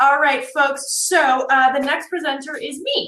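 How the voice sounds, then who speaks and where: A woman speaks with an American accent in a high pitch. Her pitch varies in an ordinary way. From North Jersey, US. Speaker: networking consultant, workshop presenter. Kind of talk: virtual workshop presentation. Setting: live virtual conference. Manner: fast; animated.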